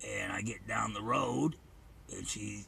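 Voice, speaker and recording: With light background noise behind him, a man does a raspy, put-on character voice at a fairly slow pace. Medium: solo performance. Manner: profane, rambling, aggrieved.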